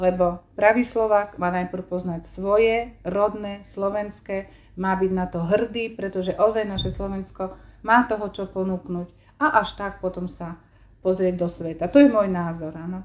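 Speaking at a fairly slow pace, a woman with an unremarkable speaking voice keeps a medium pitch and fairly even intonation. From eastern Slovakia, Stará Ľubovňa district. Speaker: secondary school teacher. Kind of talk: interview.

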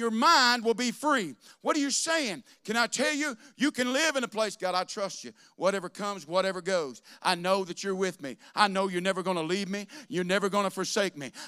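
A man speaks in a raised, projected voice at a high pitch and a fairly quick pace, his tone bright, sharp and animated. His intonation is lively, and the recording is very clean with a silent background. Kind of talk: sermon. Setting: church. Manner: animated, call-and-response preaching, urging the congregation to shout back.

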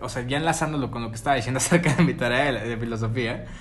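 A man with a Mexican accent and ordinary pitch variation, amid audible room echo and noticeable background noise. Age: 20s. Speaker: podcast co-host. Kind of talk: casual chat.

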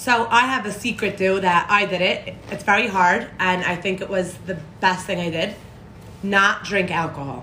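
A woman's bright, sharp tone at a moderate pace, with audible room echo. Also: medium pitch for a woman, ordinary pitch variation. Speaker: podcast guest. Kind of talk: casual chat.

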